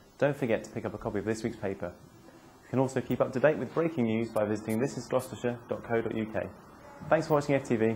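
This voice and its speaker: A man with an upbeat tone, very fast pace and ordinary pitch variation over light background noise. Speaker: news presenter. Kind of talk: local TV newsreading, scripted bulletin. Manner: brisk, polished, even-toned delivery with upbeat sign-off. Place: street. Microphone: lapel.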